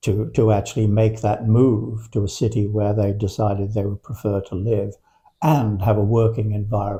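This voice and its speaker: In a British accent, a man speaks in a dark, mellow, somewhat breathy tone with monotone, flat intonation. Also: fairly low pitch for a man, moderate pace. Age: 80s+. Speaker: Alexander Technique teacher. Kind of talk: interview conversation. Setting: in person.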